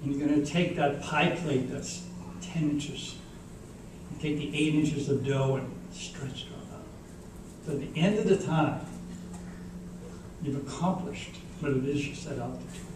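Moderate pace with long, frequent pauses and ordinary pitch variation, plus audible room echo and noticeable background noise. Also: man. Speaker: keynote speaker. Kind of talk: graduation keynote speech. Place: hall.

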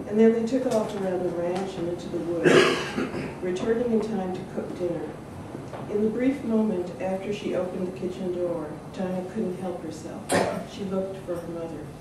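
Over loud background noise and audible room echo, a woman speaks at a moderate pace with ordinary pitch variation. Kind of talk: reading aloud from a novel. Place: hall. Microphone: camera far.

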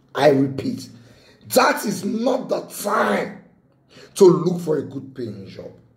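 A man talks at a high pitch and a very slow pace, with long, frequent pauses. His pitch swings very widely and his loudness swings a lot, with audible room echo around him. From Nigeria. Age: 30s. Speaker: lawyer and motivational vlogger. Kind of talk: motivational talk to camera. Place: home room. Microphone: phone near.

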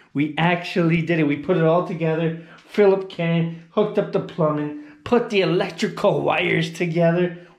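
Audible room echo over a quiet background. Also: man. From Canada, Hamilton, Ontario; Ontario, Canada. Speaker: travel vlogger. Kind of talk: casual vlog narration. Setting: indoors, apartment under renovation. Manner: animated. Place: home room. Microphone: phone near.

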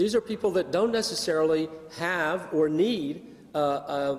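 A man at a fairly slow pace with lively intonation. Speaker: conference presenter. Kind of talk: lecture. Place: hall. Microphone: podium.

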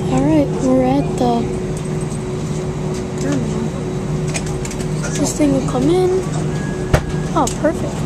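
The speech moves at a moderate pace. The sound is dry with no echo, though loud background noise is present. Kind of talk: casual commentary. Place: plane. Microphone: phone near.

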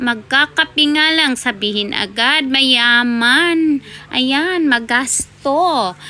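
A woman with a high, raised, projected voice speaks at a very slow pace amid noticeable background noise. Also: ordinary pitch variation. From Philippines. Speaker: vlogger. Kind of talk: casual vlog talk.

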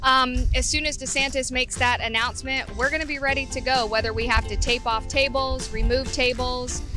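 A woman speaks at a fairly quick pace with clear music in the background. The sound is dry, with no echo. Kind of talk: interview answer. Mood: optimistic, hopeful. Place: street. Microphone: handheld.

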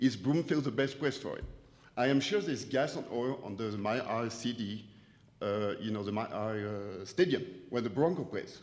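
In a French accent, a man speaks at a fairly quick pace with lively intonation and audible room echo. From France. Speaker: business owner speaking at public comment. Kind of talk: public comment at town hall. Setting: auditorium meeting.

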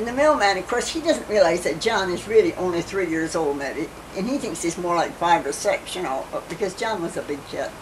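A woman with an American accent speaks at a moderate pace, her pitch swinging very widely. Noticeable background noise is present. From US Midwest. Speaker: grandmother telling family history. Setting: home interview, family video recording. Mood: calm, reminiscing, sometimes amused. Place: home room. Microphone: old recording.

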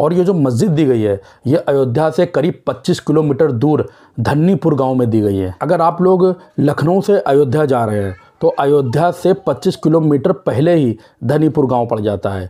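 A man talks at a moderate pace with few pauses, at a fairly high pitch. His tone is dark and mellow, with lively intonation.

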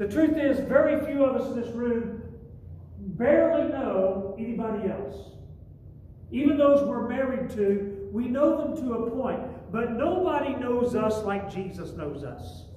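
An extremely high-pitched male voice at a fairly slow pace, with strong room echo and light background noise. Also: ordinary pitch variation. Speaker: pastor. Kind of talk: sermon. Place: church. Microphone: camera far.

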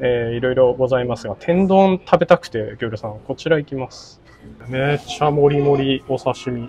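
At a moderate pace, a man speaks in a medium-pitched, somewhat breathy voice with a dark, mellow tone, ordinary pitch variation and big swings in loudness. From Fukui, Japan. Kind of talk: casual food vlog talk.

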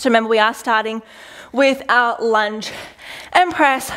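Moderately paced speech from a woman, with a quiet background. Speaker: fitness instructor. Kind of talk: workout coaching cues. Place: gym. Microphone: headset.

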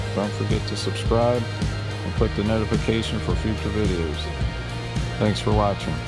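Loud music plays behind a man's voice. He speaks at a moderate pace. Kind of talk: commentary. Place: hall. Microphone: phone near.

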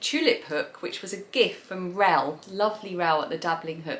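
A woman speaks in a southern English accent with a bright, sharp tone. Her intonation is lively and her pace moderate. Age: 40s. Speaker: craft video creator. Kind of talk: casual monologue to camera. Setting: home recording to camera. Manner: chatty, frequent fillers. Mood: relaxed, thoughtful. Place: home room.

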